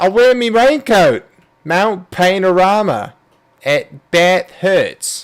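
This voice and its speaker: Very slow, high-pitched speech from a man with an Australian accent and lively intonation. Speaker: sim racing commentator. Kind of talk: live commentary. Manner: animated.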